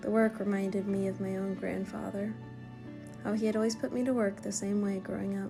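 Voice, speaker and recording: The tone is calm, with music in the background. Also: woman. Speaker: travel filmmaker. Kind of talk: travel vlog voice-over narration. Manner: calm, reflective.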